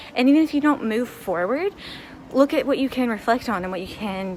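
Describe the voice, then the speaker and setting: A woman with an American accent, lively intonation and a moderate pace, with noticeable background noise. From United States. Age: 20s. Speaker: English teacher. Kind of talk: casual vlog talk to camera.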